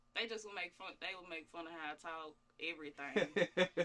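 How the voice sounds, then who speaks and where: Speaking at a fairly slow pace in a Louisiana accent, a woman has a fairly low voice with a bright, sharp tone. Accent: Southern US, Louisiana country. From northern Louisiana (Monroe). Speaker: rapper. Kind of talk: interview. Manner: casual, laid-back.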